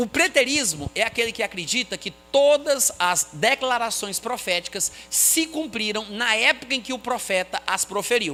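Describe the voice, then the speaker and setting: A man's raised, projected voice at an extremely high pitch, with lively intonation, a moderate pace and hardly any pauses, over background music. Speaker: Bible teacher. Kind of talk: lecture.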